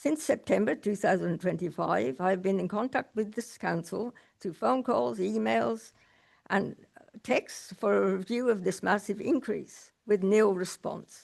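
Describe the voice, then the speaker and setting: Someone speaks at a fairly slow pace with an Australian accent. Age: 70s. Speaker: resident speaking at council meeting. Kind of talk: reading aloud a prepared statement. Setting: council meeting public question time.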